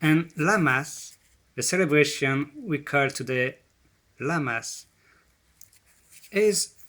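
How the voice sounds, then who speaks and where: A man with a non-native accent speaks at a very slow pace in a fairly high pitch. His intonation is lively and his tone bright and sharp. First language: not English. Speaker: presenter on ancient spirituality. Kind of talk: presentation. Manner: halting.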